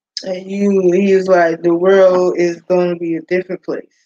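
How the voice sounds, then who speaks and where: A woman is talking. She is soft-spoken. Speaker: YouTube live streamer. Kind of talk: casual chat.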